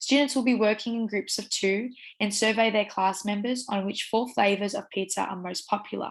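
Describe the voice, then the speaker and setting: A woman's medium-pitched voice with an Australian accent, moderately paced and fairly even in intonation, against a quiet background. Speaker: teacher education student. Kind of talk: university assignment presentation.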